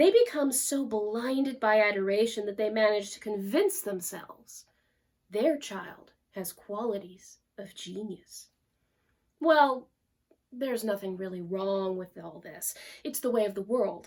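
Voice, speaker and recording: An ordinary speaking voice, delivered at a fairly slow pace. The loudness swings widely from moment to moment. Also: woman, fairly high pitch for a woman, ordinary pitch variation. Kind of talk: narrated story reading.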